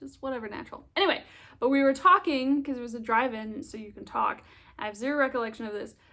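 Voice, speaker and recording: The speaker talks with an American accent and ordinary pitch variation. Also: woman. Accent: American, British accent gone. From England. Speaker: vlogger. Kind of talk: casual chat.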